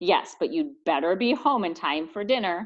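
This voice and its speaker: Using a put-on character voice, a woman speaks at a fairly high pitch with very wide pitch swings. Her pace is moderate. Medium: read story. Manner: gently nagging.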